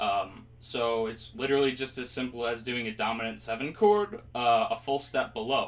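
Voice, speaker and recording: A man speaks at a moderate pace with hardly any pauses and ordinary pitch variation. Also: medium pitch for a man. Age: 20s. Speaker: music teacher. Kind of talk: tutorial. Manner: casual, hesitant with fillers.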